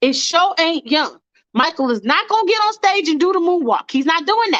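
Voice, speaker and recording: Raised and projected, the voice has an animated, passionate, bright and sharp tone with very wide pitch swings, in a dry, close sound with no echo. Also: woman. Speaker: livestream host. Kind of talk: casual live stream chat. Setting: live stream with callers.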